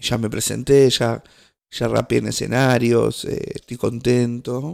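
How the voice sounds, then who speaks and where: A man with an Argentine accent, speaking at a very slow pace. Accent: Rioplatense Argentine Spanish. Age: 20s. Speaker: podcast host. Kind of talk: casual solo monologue. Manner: halting, many fillers and restarts.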